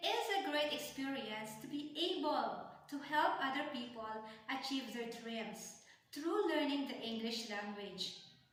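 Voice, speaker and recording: A woman's high voice with lively intonation at a fairly slow pace, audible room echo and noticeable background noise. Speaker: online English teacher. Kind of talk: self-introduction video.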